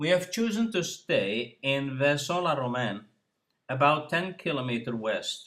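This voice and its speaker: This man has a normal speaking voice. He speaks at a fairly slow pace with fairly high pitch and lively intonation. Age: 60s. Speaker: retired cyclist vlogger. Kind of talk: scripted narration. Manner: formal.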